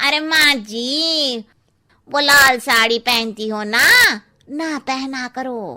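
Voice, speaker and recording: A woman performs a cartoonish character voice at a high pitch and a very slow pace. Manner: blunt, cheeky.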